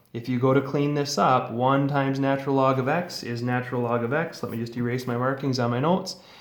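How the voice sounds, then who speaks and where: With hardly any pauses, a man talks at a very fast pace with fairly even intonation, with audible room echo. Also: medium pitch for a man. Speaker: high school math teacher. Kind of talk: lecture.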